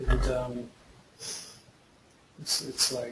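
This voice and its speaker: Over noticeable background noise, a man with an Australian accent speaks at a fairly slow pace. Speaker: actor and filmmaker with cystic fibrosis. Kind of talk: webinar interview. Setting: online webinar. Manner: halting, many repetitions and fillers.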